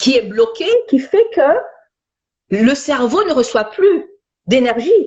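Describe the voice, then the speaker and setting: A high-pitched woman's voice at a very slow pace, with very wide pitch swings, very even loudness, and long, frequent pauses. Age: 50s. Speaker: stress and anxiety specialist. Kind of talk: interview. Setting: Instagram live video. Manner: repetitive, stammering restarts.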